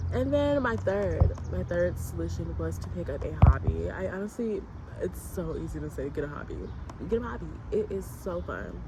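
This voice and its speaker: A woman talks at a moderate pace amid noticeable background noise and audible room echo. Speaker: student video essayist. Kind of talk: casual vlog talk to camera. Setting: outdoors in a garden. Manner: whispering at times.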